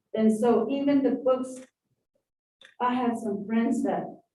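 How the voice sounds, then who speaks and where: A very slow pace with an American accent. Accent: Navajo English. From southeastern Utah, Navajo Nation area. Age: 60s. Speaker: public commenter. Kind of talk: public hearing testimony. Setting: public hearing room.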